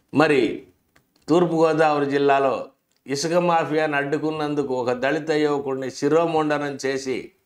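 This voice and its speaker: A man's fairly high, monotone voice with flat intonation against a quiet background. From Andhra Pradesh, India. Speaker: political commentator. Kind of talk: political commentary monologue. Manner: sarcastic. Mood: critical, sarcastic. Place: studio. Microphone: lapel.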